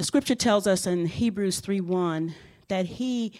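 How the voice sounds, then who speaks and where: Here is an unremarkable speaking voice from a woman who talks fairly slowly. She speaks at a medium pitch that varies in an ordinary way. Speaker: pastor. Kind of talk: sermon. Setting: church.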